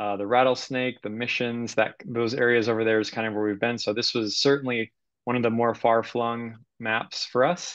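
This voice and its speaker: Speaking at a moderate pace, a man is heard against a quiet background, the sound dry with no echo. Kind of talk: presentation. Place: home room.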